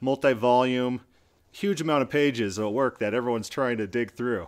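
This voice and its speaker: In a very clean recording with a silent background, an unremarkable speaking voice moves at a moderate pace with ordinary pitch variation. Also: man. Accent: American. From US Midwest. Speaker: podcast host. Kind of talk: interview.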